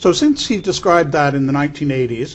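Somewhat breathy male speech, fairly high in pitch and fairly slow. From Canada, Toronto. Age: old. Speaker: neurologist; interviewee. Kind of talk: interview. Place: studio.

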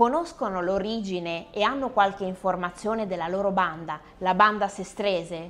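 Music plays in the background as a woman talks with hardly any pauses. Her pitch is medium. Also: ordinary pitch variation, moderate pace. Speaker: co-host and singer. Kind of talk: presenting. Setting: bar.

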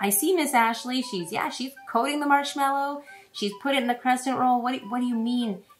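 A woman's high-pitched voice at a moderate pace, with light background noise. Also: ordinary pitch variation. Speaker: presenter. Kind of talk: cooking demo with Bible lesson for kids. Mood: warm, encouraging. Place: kitchen.

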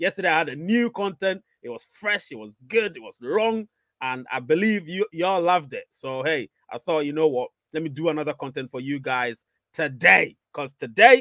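Bright and sharp in tone, a man speaks at a moderate pace with very wide pitch swings and big swings in loudness, in a dry sound with no echo against a quiet background. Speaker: live stream host. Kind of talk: casual livestream chat, reading viewer comments. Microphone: studio mic.

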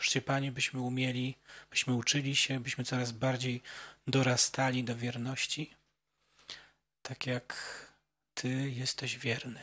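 A man speaks at medium pitch in a bright, sharp tone. His intonation is monotone and flat, and his pace is moderate. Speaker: event organizer, moderator; moderator. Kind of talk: moderating, prayer. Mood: calm, solemn. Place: hall. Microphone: handheld.

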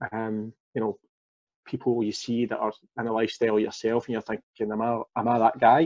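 At a fairly quick pace, a man talks at medium pitch in a monotone, flat intonation against a quiet background. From Glasgow, Scotland. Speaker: former fitness coaching client, father; former fitness coaching client. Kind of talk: casual interview. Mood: relaxed, candid. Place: home room. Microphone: video call.

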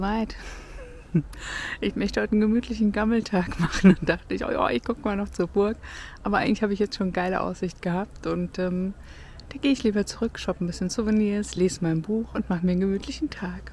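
Very fast speech from a woman comes with ordinary pitch variation, a dry sound with no echo, and light background noise. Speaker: travel vlogger. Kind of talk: casual vlog chat. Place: open country. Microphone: phone near.

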